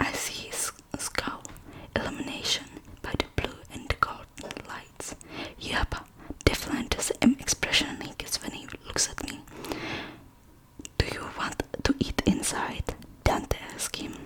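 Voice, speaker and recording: The speaker whispers fairly slowly, pausing often and at length, while noticeable background noise carries on. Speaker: ASMR creator. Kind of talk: ASMR book reading. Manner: whispered.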